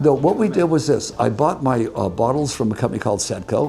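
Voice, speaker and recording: Lively intonation from a male speaker against noticeable background noise. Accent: American. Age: 80s+. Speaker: businessman. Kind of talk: interview answer.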